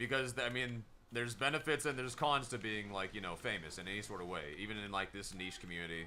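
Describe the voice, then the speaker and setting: Loud and animated, a man speaks with a bright, sharp tone at a fairly low pitch. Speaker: gaming streamer. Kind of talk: live gameplay stream commentary.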